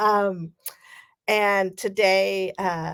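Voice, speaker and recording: A woman with a Californian accent, the sound dry and close with no echo. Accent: General American (Californian). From US West Coast, California Bay Area. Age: 40s. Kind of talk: keynote speech. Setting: virtual conference, remote.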